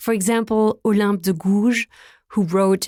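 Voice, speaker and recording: On a very clean recording with a silent background, a woman speaks at a fairly slow pace in a medium pitch, the sound dry and close with no echo. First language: German and French. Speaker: podcast founder and host. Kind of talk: scripted narration.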